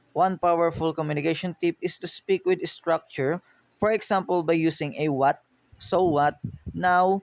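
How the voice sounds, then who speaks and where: With a Filipino accent, a man speaks at a high pitch and a moderate pace, with ordinary pitch variation. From Philippines. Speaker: university student. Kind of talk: class presentation. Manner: halting.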